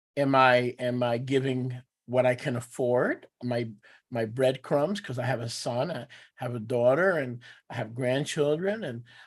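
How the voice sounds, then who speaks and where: An American-accented man speaks in a plain, everyday voice at medium pitch, with fairly even intonation and a moderate pace. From New York. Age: 60s. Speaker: teacher of a religious assembly. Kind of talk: teaching with live interpretation. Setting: video call.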